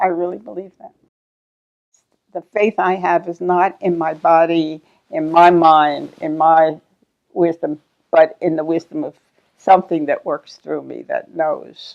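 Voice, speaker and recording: A woman's fairly low, monotone voice at a fairly slow pace, with flat intonation, big swings in loudness and long, frequent pauses. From Philadelphia, US. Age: 80s+. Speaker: teacher and psychotherapist. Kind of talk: interview.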